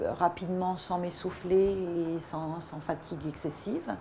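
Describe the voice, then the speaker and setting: Very slow in pace, this woman speaks at a medium pitch. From Paris region, France. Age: 60s. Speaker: weight-loss program customer. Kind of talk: testimonial. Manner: halting, many hesitations.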